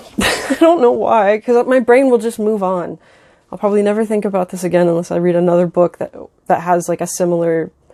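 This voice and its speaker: A woman's medium-pitched voice, fairly quick, with ordinary pitch variation. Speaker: book reviewer, video creator. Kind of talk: casual chat. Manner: many fillers (um, like); halting, self-correcting.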